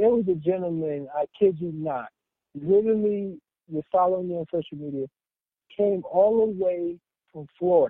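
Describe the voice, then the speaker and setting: Pitched high, a man talks at a moderate pace with ordinary pitch variation. His loudness swings widely, and he takes long, frequent pauses. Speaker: raw food juice bar owner. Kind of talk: casual interview.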